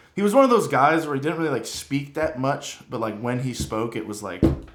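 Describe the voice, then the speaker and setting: A man with an American accent speaks at a fairly quick pace, with audible room echo. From Vermont, US New England. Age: 20s. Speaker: strength and conditioning coach, podcast co-host. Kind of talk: casual chat.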